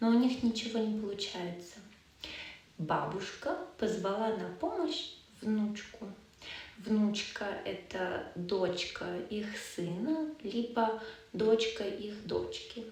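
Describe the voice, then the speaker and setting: A woman's fairly high voice at a very slow pace, with long, frequent pauses, noticeable background noise and audible room echo. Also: ordinary pitch variation. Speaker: language teacher. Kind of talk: storytelling lesson.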